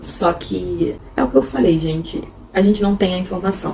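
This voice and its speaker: Noticeable background noise around a woman's fairly low voice. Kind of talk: casual unscripted vlog talk. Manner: halting, unscripted.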